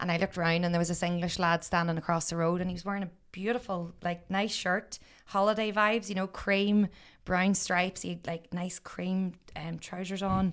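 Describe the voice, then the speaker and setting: In a Northern Irish accent, a woman speaks at a fairly quick pace with a medium pitch. The recording is very clean, with a silent background. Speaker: podcaster and former teacher living abroad. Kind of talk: casual chat. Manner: animated.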